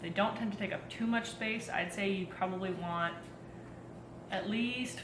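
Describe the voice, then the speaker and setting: A woman in a western Canadian accent at a fairly slow pace, with ordinary pitch variation, audible room echo and noticeable background noise. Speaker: home gardener. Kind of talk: tutorial. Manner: frequent filler ums.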